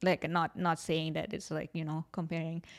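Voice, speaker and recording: A woman speaks at a fairly quick pace with an unremarkable speaking voice. Her pitch sits fairly low. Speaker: musician, podcast host. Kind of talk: casual chat. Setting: video call.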